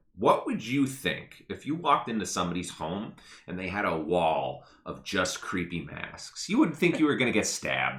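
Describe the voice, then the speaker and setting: Room echo is audible as a man talks at a fairly quick pace with vocal fry. His tone is bright, sharp and animated, and his pitch swings very widely. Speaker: podcast co-host. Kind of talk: casual chat. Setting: live stream.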